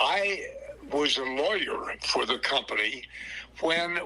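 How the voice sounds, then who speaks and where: A man speaks over noticeable background noise. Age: 90s. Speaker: retired company executive. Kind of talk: interview. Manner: halting.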